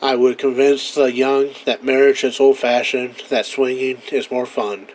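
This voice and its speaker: Over noticeable background noise, a man talks at a fairly slow pace in a medium pitch with monotone, flat intonation. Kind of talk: old-time radio commentary monologue.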